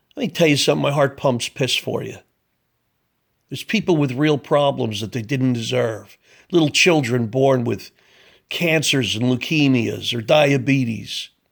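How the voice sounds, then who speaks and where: The recording is very clean, with a silent background. A man talks at a moderate pace and medium pitch with ordinary pitch variation. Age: 60s. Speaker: political commentator. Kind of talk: opinion monologue. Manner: animated.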